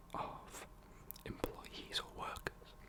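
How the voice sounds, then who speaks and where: Noticeable background noise is heard. Over it comes whispering at a very slow pace. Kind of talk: ASMR facts talk. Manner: whispered, soft-spoken.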